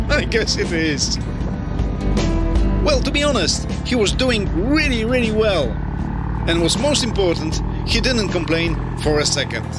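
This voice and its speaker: Loud music plays in the background while the voice moves at a moderate pace. Long, frequent pauses break it up, and the sound is dry with no echo. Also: man. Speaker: motorcycle rider vlogger. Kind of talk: casual vlog commentary. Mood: cheerful, relaxed. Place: motorbike. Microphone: helmet.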